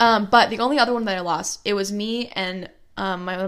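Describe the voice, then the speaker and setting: A woman with an American accent and fairly even intonation, on a very clean recording against a silent background. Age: young. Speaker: podcast co-host, recent high school graduate. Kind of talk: casual chat. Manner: loud, sudden shouting.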